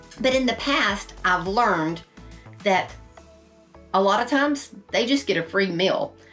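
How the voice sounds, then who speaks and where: Faint music plays in the background as a woman speaks at a fairly slow pace with ordinary pitch variation. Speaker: RV lifestyle vlogger. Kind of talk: tutorial. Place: home room.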